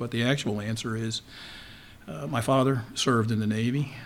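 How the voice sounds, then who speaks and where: With an American accent, a man of medium pitch speaks at a moderate pace, using lively intonation and some vocal fry. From Baltimore, Maryland (Dundalk). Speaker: retired naval intelligence officer. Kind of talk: interview.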